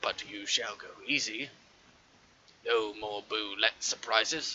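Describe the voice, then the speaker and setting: Putting on a character voice at medium pitch, a man speaks at a fairly slow pace. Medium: actual play. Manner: formal, slightly pompous.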